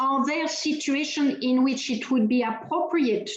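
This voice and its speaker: Speech with a French accent moves at a fairly slow pace with lively intonation. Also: woman. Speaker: human rights advocate. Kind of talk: keynote lecture. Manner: hesitant with fillers.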